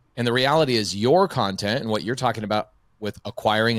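On a very clean recording with a silent background, a man speaks at a fairly quick pace. He has an unremarkable speaking voice at medium pitch. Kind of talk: casual interview chat.

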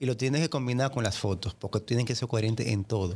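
Medium pitch and ordinary pitch variation in a man with a plain, everyday voice. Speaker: podcast guest. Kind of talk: casual chat. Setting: studio. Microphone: close to the mic.

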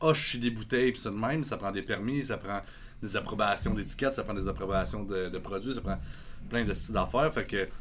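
Talking at a fairly quick pace in a Quebec accent, a man with a fairly low voice uses lively intonation and some vocal fry. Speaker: brewery co-owner and metal band singer. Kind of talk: casual chat.

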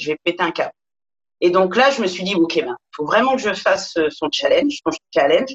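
The sound is dry and close with no echo as a woman speaks at a moderate pace and medium pitch. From Paris. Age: 40s. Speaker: yoga teacher. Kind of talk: interview.

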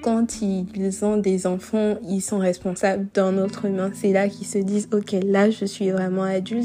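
A woman's medium-pitched voice at a fairly slow pace, monotone, with flat intonation. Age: 20s. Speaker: podcaster. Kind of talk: solo monologue. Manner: unscripted, hesitant.

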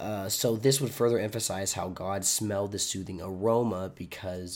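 Moderate pace and fairly even intonation on a very clean recording with a silent background. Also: man. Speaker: online Bible teacher. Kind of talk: devotional Bible study talk. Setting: recorded video. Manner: casual, conversational.

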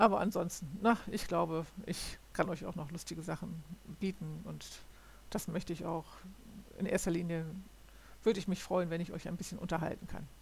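A woman with vocal fry talks at a fairly quick pace and fairly even intonation, broken by long, frequent pauses. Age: 60s. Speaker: podcaster. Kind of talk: solo monologue. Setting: home recording at computer. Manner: halting.

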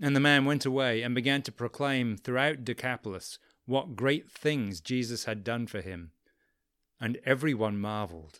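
The recording is very clean, with a silent background. A man with an English accent speaks at a moderate pace. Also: medium pitch for a man, ordinary pitch variation. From England. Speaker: podcast host and storyteller. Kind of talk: scripted narration of a biblical story.

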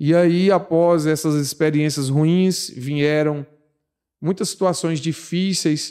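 On a very clean recording with a silent background, a man with a fairly high pitch and a dark, mellow tone speaks at a very slow pace, with very even loudness and fairly even intonation. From Bahia, Brazil (Guanambi). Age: 30s. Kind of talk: testimony.

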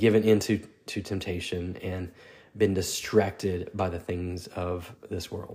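Speaking very slowly, a man with a fairly low pitch sounds somewhat breathy. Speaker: devotional podcast host. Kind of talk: devotional talk. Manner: hesitant with fillers.

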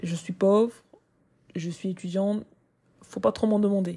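With a medium pitch and fairly even intonation, a woman sounds somewhat breathy, her tone dark and mellow. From Cameroon. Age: 20s. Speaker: content creator and student podcaster. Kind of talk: personal monologue. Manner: casual, with hesitations.

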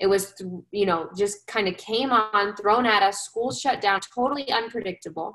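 In an American accent, this is an ordinary speaking voice delivered at a moderate pace. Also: woman. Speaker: social emotional learning coach and presenter. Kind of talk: webinar presentation. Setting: live video webinar, evening.

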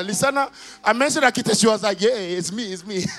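With an animated tone, a man speaks at a high pitch and with ordinary pitch variation. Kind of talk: sermon. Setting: church with congregation. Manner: animated, call-and-response, exhorting the congregation to shout; loud, rhythmic, repeating phrases for emphasis.

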